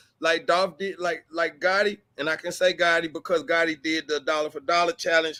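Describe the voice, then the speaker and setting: Speaking at a fairly quick pace with a Southern US accent, this animated voice has a bright, sharp tone and a dry, close sound with no echo, on a very clean recording with a silent background. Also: man. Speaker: blogger. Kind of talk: casual discussion on a livestream. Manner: animated, repetitive.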